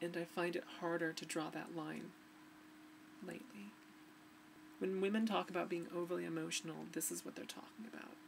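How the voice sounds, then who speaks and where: A woman at a fairly quick pace, broken by long, frequent pauses, amid noticeable background noise. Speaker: vlogger. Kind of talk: personal video diary. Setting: home recording to webcam. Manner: halting. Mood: emotional, reflective, somewhat subdued. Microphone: webcam.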